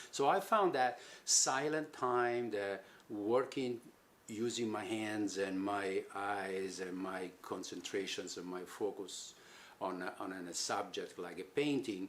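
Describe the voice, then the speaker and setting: Speaking at a fairly slow pace, a man talks with an Italian accent. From Italy, Rome. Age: 70s. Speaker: sculptor. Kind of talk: personal reflection. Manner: halting.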